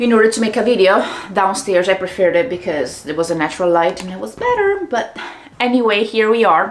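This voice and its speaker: Lively intonation and a fairly quick pace mark this Italian accent, heard with audible room echo and noticeable background noise. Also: woman. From Italy, Treviso. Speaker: business coach. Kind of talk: casual vlog monologue. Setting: home studio. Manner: pauses between words and sentences.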